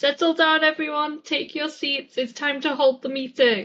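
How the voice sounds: A woman's put-on character voice at a high pitch. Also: moderate pace.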